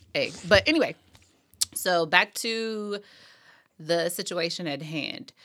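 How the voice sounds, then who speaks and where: Very slow with long, frequent pauses, a woman speaks at a medium pitch with ordinary pitch variation and a bright, sharp tone in a very clean recording with a silent background. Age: 20s. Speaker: podcast host. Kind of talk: casual chat.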